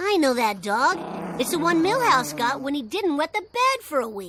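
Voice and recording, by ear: In a high, cartoonish character voice, the speaker moves at a moderate pace with very wide pitch swings.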